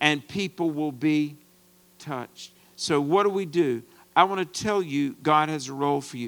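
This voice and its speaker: Over a silent background on a very clean recording, a man with a plain, everyday voice speaks at a fairly slow pace and fairly high pitch, with ordinary pitch variation and an American accent. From US, rural farm background. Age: 50s. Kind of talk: sermon.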